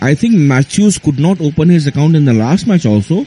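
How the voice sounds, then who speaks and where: Speaking with an Indian accent, a man uses lively intonation at a moderate pace over noticeable background noise. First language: Hindi. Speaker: cricket commentator. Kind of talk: radio studio discussion. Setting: radio studio. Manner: halting.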